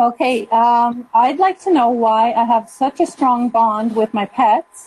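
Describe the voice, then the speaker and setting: Here is a woman with an unremarkable speaking voice and a fairly high pitch. Her pitch varies in an ordinary way, and the sound is dry and close with no echo. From Calgary, Alberta, Canada. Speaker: caller. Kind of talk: call-in question.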